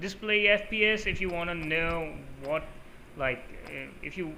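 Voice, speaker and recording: A man speaks with audible echo from the room. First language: Urdu. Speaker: gaming YouTuber. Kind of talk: tutorial. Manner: casual, with many fillers.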